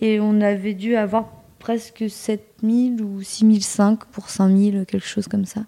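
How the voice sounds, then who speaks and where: Speaking very slowly, a woman with a fairly high pitch keeps a monotone, flat intonation. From Normandy, France. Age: 20s. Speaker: entrepreneur. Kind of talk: interview.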